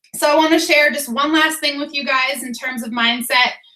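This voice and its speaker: A woman's raised, projected voice, bright and sharp, at a moderate pace with ordinary pitch variation. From Boston, Massachusetts. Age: 30s. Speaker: fitness coach. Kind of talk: motivational team call.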